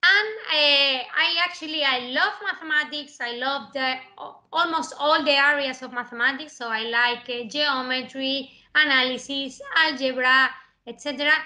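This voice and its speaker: A woman with an Andalusian accent speaks at a high pitch. Her pace is moderate, and her loudness swings widely. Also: ordinary pitch variation. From southern Spain (Andalusia). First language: Spanish. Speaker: mathematics professor. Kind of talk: lecture. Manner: halting, many fillers.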